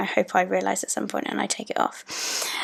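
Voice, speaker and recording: The pace is moderate. This woman has a British accent. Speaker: planner YouTuber. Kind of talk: voiceover narration for a plan-with-me video. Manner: casual, many filler ums.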